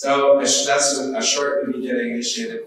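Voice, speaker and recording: Over noticeable background noise and audible room echo, a man speaks at a fairly high pitch with very wide pitch swings. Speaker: trend-following trader. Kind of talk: conference workshop presentation. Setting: live event with audience, live-streamed.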